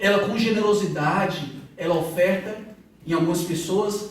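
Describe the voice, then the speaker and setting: A man speaks in a northeastern Brazilian accent. Noticeable background noise and audible room echo are present. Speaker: pastor. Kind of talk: sermon.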